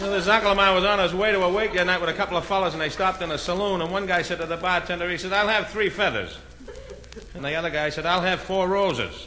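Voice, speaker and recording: Someone speaks at a very fast pace with fairly even intonation. Noticeable background noise sits under the voice. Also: man. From Boston. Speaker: comedian. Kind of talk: stand-up comedy album.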